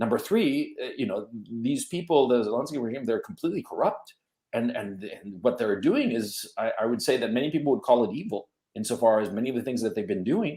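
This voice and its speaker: A man with an American accent talks at a fairly quick pace. His pitch swings very widely. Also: medium pitch for a man. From United States (educated there). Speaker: podcast host. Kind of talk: panel discussion.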